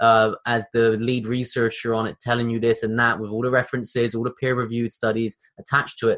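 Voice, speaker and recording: Speaking at a very fast pace with hardly any pauses, a man with a British accent sounds animated. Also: medium pitch for a man. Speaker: podcast host. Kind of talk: casual interview. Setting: video call. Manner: animated, casual.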